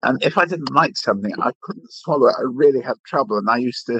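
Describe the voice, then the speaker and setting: With an English accent, a man talks at a fairly quick pace in a dry, close sound with no echo against a quiet background. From England. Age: 60s. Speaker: retired food critic. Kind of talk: podcast interview.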